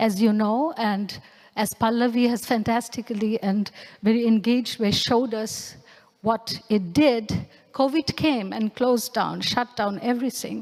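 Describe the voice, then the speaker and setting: Speaking with a Bengali accent, a woman keeps a fairly slow pace, fairly high pitch and fairly even intonation. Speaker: anthropologist and researcher. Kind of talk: lecture performance.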